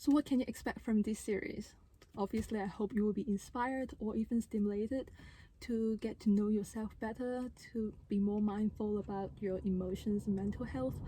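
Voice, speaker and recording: A woman with a non-native accent speaks at a moderate pace, her fairly high pitch showing ordinary variation. Her tone is dark and mellow and somewhat breathy. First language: not English. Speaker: vlogger and handpan musician. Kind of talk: casual vlog talk to camera. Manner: unscripted, conversational.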